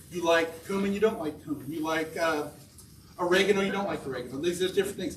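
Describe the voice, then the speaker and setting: Amid noticeable background noise and audible room echo, a man with an American accent talks at a very fast pace with a high pitch and ordinary pitch variation. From Kansas, Topeka. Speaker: spice shop owner. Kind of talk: lecture. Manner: animated.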